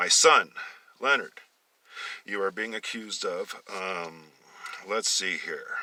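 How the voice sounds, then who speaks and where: A man in a rumbling put-on character voice speaks at a fairly slow pace with long, frequent pauses. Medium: read story.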